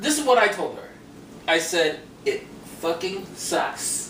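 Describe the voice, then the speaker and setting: Loud speech at a fairly slow pace, with very wide pitch swings and long, frequent pauses. There is audible room echo and noticeable background noise. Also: man. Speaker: comedy web show host. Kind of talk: casual chat.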